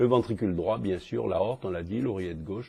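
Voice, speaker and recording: A man speaks with a fairly low pitch and a dark, mellow tone. His voice is somewhat breathy, with ordinary pitch variation. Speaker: cardiologist teaching echocardiography. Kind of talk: lecture. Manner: fast; hesitant, many fillers.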